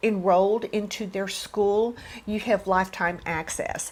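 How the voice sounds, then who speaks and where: A woman speaks at medium pitch and a very slow pace. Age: 60s. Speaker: beauty and fashion vlogger. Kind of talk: product review vlog. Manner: conversational.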